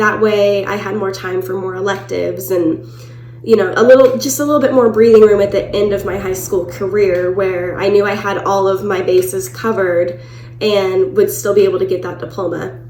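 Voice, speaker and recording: A woman speaks at a medium pitch with very wide pitch swings, with audible room echo and music in the background. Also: moderate pace. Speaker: vlogger. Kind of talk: personal storytelling vlog.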